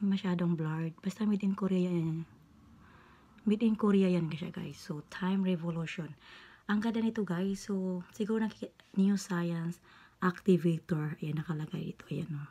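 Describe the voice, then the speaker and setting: At a moderate pace, a woman with a medium pitch and a dark, mellow, somewhat breathy tone speaks with fairly even intonation. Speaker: beauty vlogger. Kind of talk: tutorial. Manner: halting.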